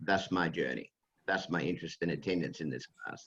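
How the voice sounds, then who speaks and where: A man with an Australian accent and fairly even intonation. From Western Australia. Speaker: retired healthcare executive and lecturer. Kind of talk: class discussion presentation. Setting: video call. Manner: hesitant, many fillers.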